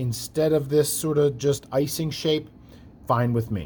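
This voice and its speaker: The voice is somewhat breathy. It belongs to a man speaking at a medium pitch. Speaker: art teacher. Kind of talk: tutorial.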